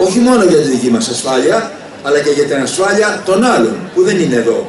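A man with a high voice and very wide pitch swings speaks at a moderate pace amid noticeable background noise and audible room echo. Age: 70s. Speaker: festival founder and former politician; former politician. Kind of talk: public speech. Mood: warm, ceremonial. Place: stage.

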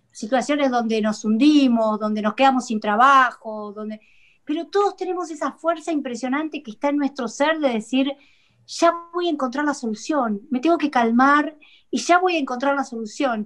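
Against a quiet background, a woman speaks at a moderate pace in a high voice. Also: ordinary pitch variation. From Argentina. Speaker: psychologist; guest. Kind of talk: talk show interview. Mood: earnest, reassuring. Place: home room. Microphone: video call.

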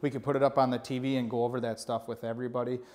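A man's very fast speech with fairly even intonation. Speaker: channel host giving a tour. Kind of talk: casual vlog chat. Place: office.

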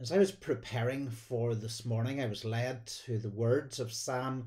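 Over a quiet background, a man talks in a somewhat breathy voice with fairly even intonation. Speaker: church minister. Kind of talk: sermon. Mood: warm, gentle, devotional. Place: home room. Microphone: phone near.

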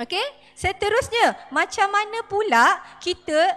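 A raised, projected voice at a very slow pace. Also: woman. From Malaysia. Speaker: lecturer. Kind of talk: panel discussion. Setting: stage with audience. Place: hall. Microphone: handheld.

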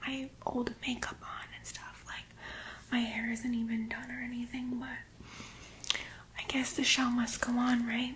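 A woman is whispering. Her pace is fairly slow. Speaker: role-play creator. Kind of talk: role-play talk to the camera. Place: home room. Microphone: phone near.

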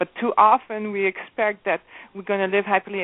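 Moderately paced, a woman speaks at medium pitch in a plain, everyday voice. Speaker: relationship coach and author. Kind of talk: radio interview.

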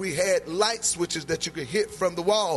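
Lively intonation from a man, with faint music in the background. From North Carolina, USA. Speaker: preacher. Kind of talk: sermon delivered to a congregation. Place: church. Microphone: handheld.

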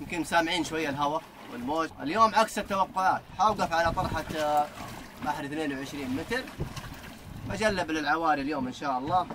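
Moderate-paced speech from a man, with noticeable background noise behind it. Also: ordinary pitch variation. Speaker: fishing vlogger. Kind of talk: casual vlog chat. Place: boat. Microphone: lapel.

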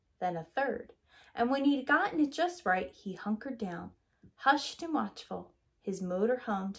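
The background is quiet. It's a natural reading voice with lively intonation.

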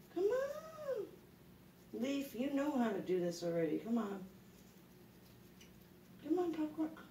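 There is audible room echo and light background noise. A woman speaks with an American accent. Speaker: pet rat owner. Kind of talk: casual talk to pet rats. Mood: encouraging, playful. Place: home room. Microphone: phone near.

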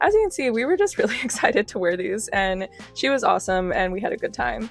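A woman speaks at a very fast pace in an upbeat tone while music plays in the background. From DMV area (Washington DC region). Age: 20s. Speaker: content creator. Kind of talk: casual vlog voice-over.

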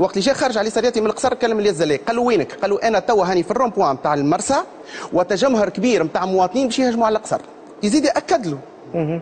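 Over noticeable background noise, a man with a high pitch speaks at a very fast pace, his intonation lively and his loudness very even. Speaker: son and advocate of a detained general. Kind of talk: TV talk show interview.

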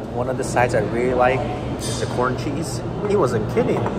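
Loud background noise fills the recording. A man speaks at a moderate pace. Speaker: food reviewer. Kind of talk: casual vlog chat. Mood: enthusiastic, relaxed. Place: bar.

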